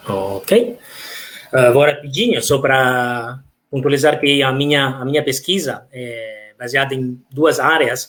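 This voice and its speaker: A man with an Italian accent, medium pitch and fairly even intonation. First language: Italian (speaking Portuguese). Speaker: professor of architecture. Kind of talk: lecture. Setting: online live talk. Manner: halting, many fillers.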